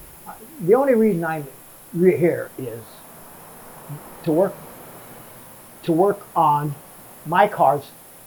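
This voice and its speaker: With noticeable background noise behind him, a man with a high pitch talks at a fairly slow pace, with lively intonation and long, frequent pauses. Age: 70s. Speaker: retired radiator mechanic. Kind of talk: casual interview. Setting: in his workshop. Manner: halting, repeats words.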